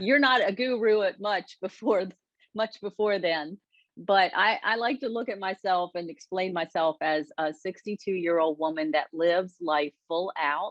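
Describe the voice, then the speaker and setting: With an American accent, a woman with an unremarkable speaking voice talks at a moderate pace and medium pitch with ordinary pitch variation, in a dry, close sound with no echo. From United States. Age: 60s. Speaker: lifestyle coach. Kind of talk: interview.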